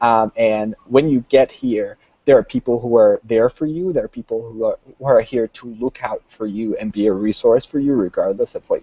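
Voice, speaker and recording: A man with a non-native accent, medium pitch and ordinary pitch variation, talking at a moderate pace with hardly any pauses and big swings in loudness. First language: not English. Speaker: international university student. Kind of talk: panel discussion. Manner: halting.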